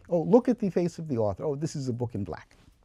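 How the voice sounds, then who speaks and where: Dark and mellow in tone, a man's voice with vocal fry moves through very wide pitch swings. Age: 70s. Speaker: scholar. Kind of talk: panel discussion. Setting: bookstore event with audience.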